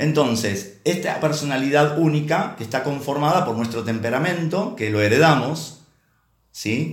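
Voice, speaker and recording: A man speaks at a fairly slow pace, somewhat breathy, with lively intonation. Room echo is audible around him. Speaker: preacher. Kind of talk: sermon. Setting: online church service. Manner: halting, with many repeated words.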